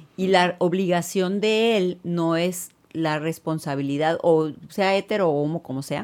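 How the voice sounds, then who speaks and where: A woman with a normal speaking voice talks at a fairly slow pace and a fairly low pitch, with fairly even intonation. The recording is very clean, with a silent background. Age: 50s. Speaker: gynecologist and sex therapist. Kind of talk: casual interview.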